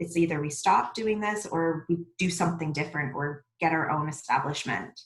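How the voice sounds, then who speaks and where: Soft-spoken, a woman is talking. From Mississauga, Ontario, Canada. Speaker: restaurant co-owner. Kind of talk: podcast interview answer.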